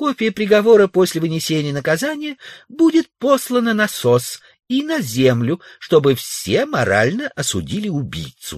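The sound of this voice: In a put-on character voice, a man speaks at a moderate pace with a high pitch, very wide pitch swings, and a dry, close sound with no echo. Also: very clean recording, silent background.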